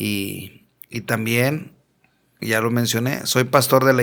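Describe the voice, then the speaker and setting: With a strong Monterrey accent, a man speaks at a medium pitch with ordinary pitch variation, captured in a very clean recording against a silent background. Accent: strong northern Mexican (Monterrey). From Mexico, Monterrey. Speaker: pastor. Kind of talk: testimony. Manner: blunt, forceful northern delivery.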